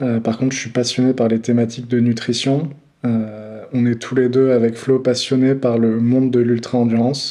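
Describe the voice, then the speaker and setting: Monotone, flat intonation at a fairly slow pace. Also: man. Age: 30s. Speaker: nutrition brand founder. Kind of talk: casual interview. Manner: hesitant, many fillers.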